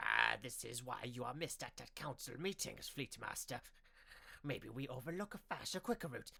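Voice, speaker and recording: A man puts on a character voice. His pitch is medium. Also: moderate pace. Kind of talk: audiobook narration. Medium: read story. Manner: halting, twitchy.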